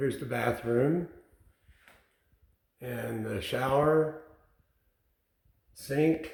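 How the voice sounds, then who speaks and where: In a room with audible echo, a man speaks at a medium pitch and a very slow pace, with long, frequent pauses and ordinary pitch variation. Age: 70s. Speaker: DIY home builder. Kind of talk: house tour. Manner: casual, conversational.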